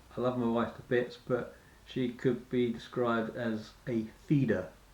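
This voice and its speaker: A man with a British accent talks at medium pitch in a monotone, flat delivery. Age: 40s. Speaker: fitness vlogger. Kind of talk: personal vlog monologue. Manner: halting.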